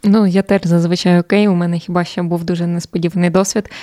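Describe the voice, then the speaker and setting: A woman speaks in a fairly low pitch with a dark, mellow tone. Her intonation is monotone and flat, in a dry, close sound with no echo. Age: 20s. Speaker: journalist and TV presenter. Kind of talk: casual chat.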